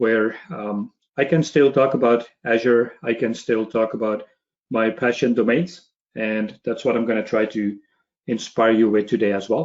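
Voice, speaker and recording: In a Belgian accent, the speaker keeps a moderate pace with ordinary pitch variation. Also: man, medium pitch for a man. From Belgium. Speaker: cloud technology trainer. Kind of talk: webinar presentation.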